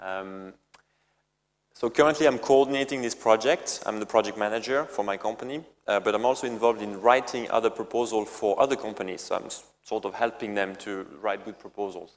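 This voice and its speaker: A man speaks at a fairly quick pace with a strong French accent. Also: medium pitch for a man, ordinary pitch variation. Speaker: company CEO. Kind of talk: presentation. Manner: halting, many fillers and repetitions.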